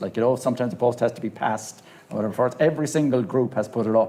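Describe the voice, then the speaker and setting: With a Cork accent, a man talks at a very fast pace, his pitch medium and its variation ordinary. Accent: Irish (Cork). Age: 60s. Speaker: HIV activist panelist. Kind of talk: panel discussion.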